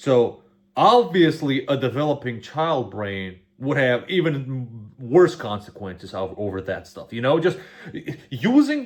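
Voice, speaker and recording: An animated man with a Macedonian accent, medium pitch, lively intonation, big swings in loudness and a fairly slow pace. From North Macedonia. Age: 20s. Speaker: YouTube reaction creator. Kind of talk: casual reaction commentary.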